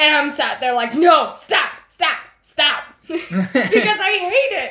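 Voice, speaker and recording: In an American accent, a woman speaks in a raised, projected voice at a high pitch, moving very slowly with very wide pitch swings. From US South. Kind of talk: casual chat.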